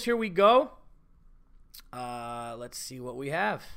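Very wide pitch swings mark this man's raised, projected voice, bright and sharp in tone. The recording is very clean, the background silent. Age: 30s. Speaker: podcast host and comedian. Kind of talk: casual monologue.

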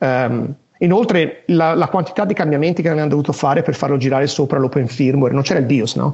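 A man's somewhat breathy voice, fairly high in pitch, with ordinary pitch variation, very even loudness and a fairly quick pace. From Italy. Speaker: software engineer. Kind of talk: interview.

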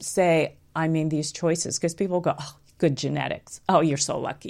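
A woman speaks with a very deep, low pitch on a very clean recording with a silent background. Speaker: health coach and podcast host. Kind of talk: live interview conversation. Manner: animated, enthusiastic.

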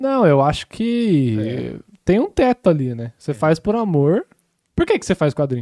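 This man's fairly high voice has a dark, mellow tone, with very wide pitch swings and big swings in loudness. He speaks at a moderate pace, and the sound is dry and close with no echo. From Brazil (moved there at age six). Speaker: animator and podcast co-host. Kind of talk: casual chat.

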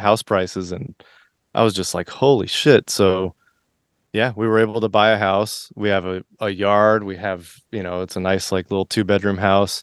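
A man with an American accent, fairly low-pitched, in a normal speaking voice at a moderate pace, dry and close with no echo, over a quiet background. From Florida. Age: 40s. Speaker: musician. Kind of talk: casual chat.

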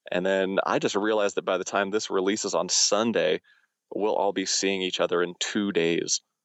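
A man's voice at a moderate pace, with very even loudness throughout. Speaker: musician and podcast co-host. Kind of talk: casual chat. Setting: phone call from a car in a parking lot.

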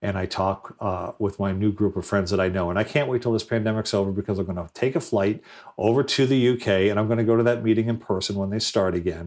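Speech comes very fast in an American accent, with hardly any pauses and fairly even intonation. The recording is very clean, with a silent background. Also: man, fairly low pitch for a man. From Rhode Island, US. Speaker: government technology advisor and former mayor. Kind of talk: interview.

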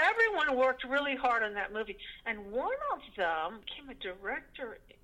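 Speaking with an American accent in a raised, projected voice, a woman with a high pitch moves at a moderate pace through very wide pitch swings and big changes in loudness. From Connecticut, US. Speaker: actress and screenwriter. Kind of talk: interview.

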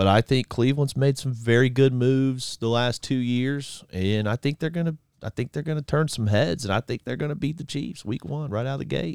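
A man with an American accent and an unremarkable speaking voice talks at medium pitch with ordinary pitch variation, fairly quickly and with hardly any pauses. The very clean recording has a silent background and a dry, close sound with no echo. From Florida Panhandle, near Pensacola. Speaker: sports podcast co-host. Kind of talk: casual chat.

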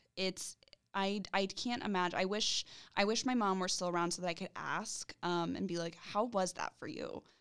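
A woman has an unremarkable speaking voice at medium pitch with ordinary pitch variation. Her pace is moderate. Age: 20s. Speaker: university career strategist. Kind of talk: casual chat.

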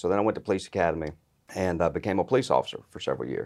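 Vocal fry marks this man's fairly low voice, heard in a very clean recording with a silent background. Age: 30s. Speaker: insurance agency owner, former police officer. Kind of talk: casual interview. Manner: energetic.

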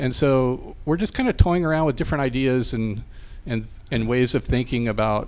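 Man at a medium pitch with an unremarkable speaking voice, moderate pace and ordinary pitch variation, in a very clean recording with a silent background. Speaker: restaurant chef and partner. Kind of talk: casual interview.

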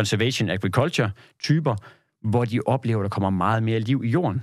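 An ordinary speaking voice at a moderate pace, on a very clean recording with a silent background. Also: man. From Jutland, Denmark. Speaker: agricultural carbon certification consultant. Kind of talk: podcast interview. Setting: studio.

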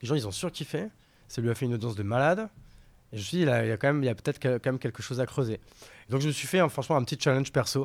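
A man speaks at a very fast pace and a medium pitch, with long, frequent pauses. The recording is very clean with a silent background. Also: lively intonation. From France, Paris and rural Marne. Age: 30s. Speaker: entrepreneur. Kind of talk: casual interview. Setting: in person, recording venue. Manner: casual, hesitant fillers.

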